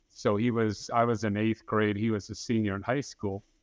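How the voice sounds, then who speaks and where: A man speaks in a plain, everyday voice with an American accent, medium in pitch and moderate in pace, the sound dry and close with no echo against a quiet background. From Massachusetts (Dartmouth, New England). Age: 50s. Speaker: business owner sharing abortion regret story. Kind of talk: personal testimony in interview.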